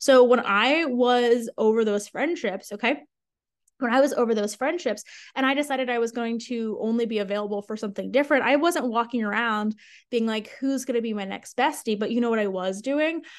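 A woman with an American accent speaks at a fairly high pitch. Her pitch variation is ordinary, and the background is quiet. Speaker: podcast host and sales coach. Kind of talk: solo podcast monologue, casual and promotional. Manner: animated, conversational.

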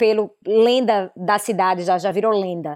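Using an ordinary speaking voice, a woman talks at a fairly slow pace, her fairly high pitch showing ordinary variation. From Recife, northeastern Brazil. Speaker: fashion business consultant. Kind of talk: casual interview. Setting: video call.

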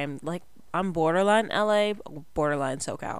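A woman with an American accent speaks at a fairly slow pace, her pitch varying in an ordinary way. The recording is very clean, with a silent background. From Southern California. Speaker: podcast host. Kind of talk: casual solo monologue. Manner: rambling, jumps around.

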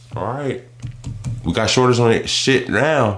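A man with vocal fry and a medium pitch, plus audible room echo. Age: 30s. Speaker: podcast co-host. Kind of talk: casual chat.

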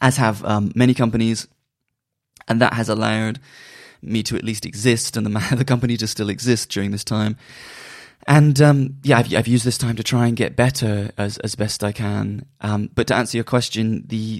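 In a very clean recording with a silent background, a man with a West Country accent talks at a moderate pace and medium pitch, his intonation fairly even and his speech broken by long, frequent pauses. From Bristol, England. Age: 30s. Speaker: music journalist and magazine publisher. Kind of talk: casual interview.

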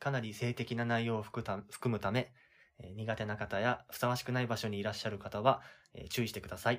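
A man speaks at a moderate pace in a medium pitch, his intonation monotone and flat, on a very clean recording with a silent background. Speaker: podcast co-host. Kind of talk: announcement; reading aloud.

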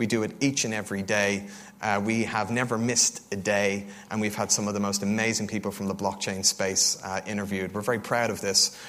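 Speaking in an Irish accent, a man keeps his pitch fairly low. His delivery is fairly quick and monotone, with flat intonation. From Ireland, Dublin. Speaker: crypto fund co-founder. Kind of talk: conference talk. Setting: stage with audience.

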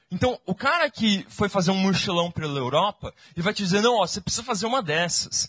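Animated, with lively intonation, a man talks fairly quickly in a high voice, the sound dry and close with no echo. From Brazil. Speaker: church speaker. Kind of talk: sermon.

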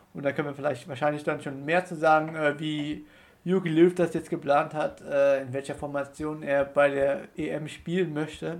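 At a moderate pace, a man speaks with a fairly high pitch in monotone, flat intonation. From Rhineland-Palatinate, near Koblenz. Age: 20s. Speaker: student podcast co-host. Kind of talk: casual sports chat. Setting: studio room in Passau old town.

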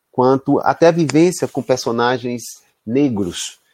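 Recorded dry and close with no echo, a man speaks at a medium pitch with a dark, mellow tone. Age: 40s. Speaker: university professor. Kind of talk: interview.

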